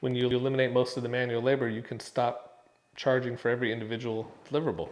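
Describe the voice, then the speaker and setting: At a very fast pace, a man speaks in a medium pitch. His intonation is monotone and flat. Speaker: real estate photographer. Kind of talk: tutorial. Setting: on location in a house.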